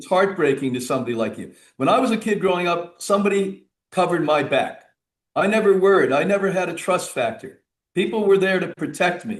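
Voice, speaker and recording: Animated in tone, a man talks at a fairly quick pace with a high pitch and ordinary pitch variation. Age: 70s. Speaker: health and wellness author, retreat director. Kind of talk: radio interview.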